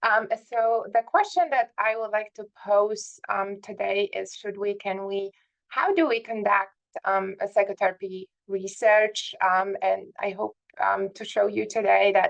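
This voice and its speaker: A woman with a Polish accent speaks at a fairly slow pace. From southern Poland. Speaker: psychiatry professor. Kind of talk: lecture. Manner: hesitant, many fillers.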